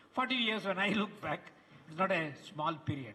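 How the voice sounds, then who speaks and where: A man's speech shows ordinary pitch variation, with noticeable background noise present. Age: 70s. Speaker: retired professor giving a tribute speech. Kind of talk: ceremonial speech. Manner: halting, many fillers and repetitions.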